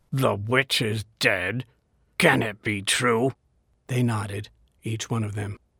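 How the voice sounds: The speaker uses a natural reading voice with fairly even intonation. The background is quiet.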